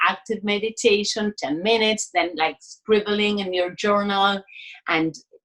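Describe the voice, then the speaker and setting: A woman with a Spanish accent speaks at a moderate pace. Her medium pitch shows ordinary pitch variation. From Argentina, Buenos Aires. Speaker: artist and creativity coach. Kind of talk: casual interview chat.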